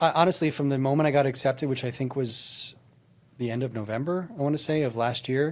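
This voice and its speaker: The recording is very clean, with a silent background. A man talks at a fairly quick pace with ordinary pitch variation. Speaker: executive coach and workplace trainer. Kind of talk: casual chat. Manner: fast.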